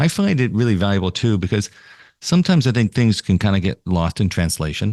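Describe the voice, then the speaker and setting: A man with an American accent talks at a fairly quick pace in a normal speaking voice, fairly low in pitch with lively intonation. The sound is dry and close with no echo over a quiet background. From New York. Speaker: podcast host, marketing association CEO. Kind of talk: interview conversation.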